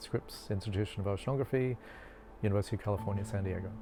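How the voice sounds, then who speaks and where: Music plays behind a man with an Australian accent. His pitch is fairly low and his intonation fairly even. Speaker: marine biology professor. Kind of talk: interview explanation.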